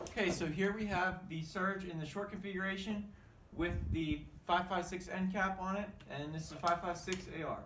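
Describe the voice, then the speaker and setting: A man's high-pitched voice moves at a moderate tempo while noticeable background noise plays underneath. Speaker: firearms reviewer. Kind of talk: casual talk to camera. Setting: outdoors.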